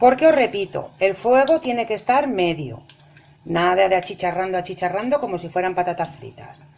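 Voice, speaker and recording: An animated woman speaks at a moderate pace with very wide pitch swings. Her loudness swings a lot as well. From Spain. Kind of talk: cooking tutorial. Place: kitchen. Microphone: phone near.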